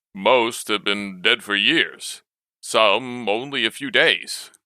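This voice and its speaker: This man adopts a put-on character voice pitched in the medium range. His delivery is very slow. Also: very clean recording, silent background. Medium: read story. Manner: gruff, terse.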